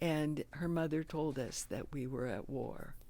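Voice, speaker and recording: A woman speaks fairly slowly in a very deep, low voice with a dark, mellow tone and vocal fry. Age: 80s+. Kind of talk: interview answer, personal memories. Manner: slow, hesitant.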